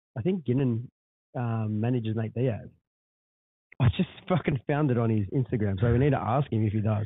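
In an Australian accent, a man of medium pitch talks at a fairly quick pace with ordinary pitch variation and long, frequent pauses. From Australia, West or Central Coast. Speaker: podcast host, small business owner. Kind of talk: casual chat. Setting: podcast room in a hotel.

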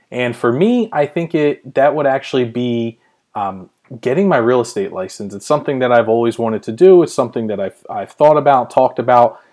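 Speaking at a fairly quick pace with lively intonation, a man with an American accent has an ordinary speaking voice at medium pitch. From Pennsylvania, US. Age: 30s. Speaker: podcast host and blogger. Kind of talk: solo podcast monologue.

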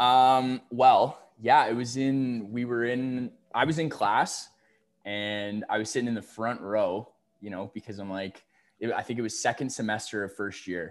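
In a Canadian accent, a man with an ordinary speaking voice speaks at a medium pitch and a fairly slow pace with fairly even intonation, on a very clean recording with a silent background. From Ontario, Canada. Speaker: university student and podcast guest. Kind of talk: casual chat.

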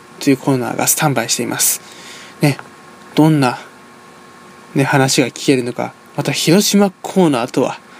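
Against noticeable background noise, a man with a fairly high pitch speaks with long, frequent pauses. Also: ordinary pitch variation, moderate pace. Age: 20s. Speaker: radio host, university student. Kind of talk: radio show hosting.

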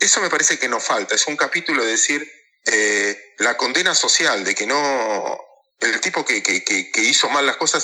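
A man speaks in a Rioplatense accent. His pace is moderate. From Mar del Plata, Argentina. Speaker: stock market operator and analyst. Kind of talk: interview.

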